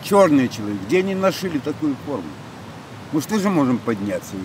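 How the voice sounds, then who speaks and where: Over noticeable background noise, a man swings his pitch very widely in a dry sound with no echo. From Belarus. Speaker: passer-by interviewed on the street. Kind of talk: street interview. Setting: outdoors. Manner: animated. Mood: indignant, agitated. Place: garden.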